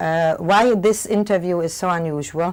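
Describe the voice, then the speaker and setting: In a German accent, a woman with a fairly low pitch and ordinary pitch variation speaks on a very clean recording with a silent background. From Germany. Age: 60s. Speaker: Holocaust survivor. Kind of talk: testimony. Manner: fast.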